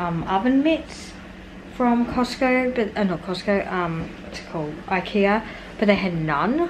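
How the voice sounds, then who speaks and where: Noticeable background noise sits under a woman talking at a fairly slow pace. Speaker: family vlogger. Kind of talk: casual vlog chat. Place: kitchen. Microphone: phone near.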